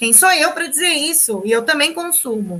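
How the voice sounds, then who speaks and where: A woman speaks with a high pitch and lively intonation. Her tone is bright and sharp. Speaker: sociology teacher. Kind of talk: online lecture.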